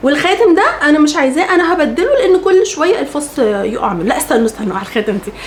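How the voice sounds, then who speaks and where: Over noticeable background noise, a woman with a high pitch speaks in an animated tone with very wide pitch swings. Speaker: lifestyle vlogger. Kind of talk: storytelling vlog.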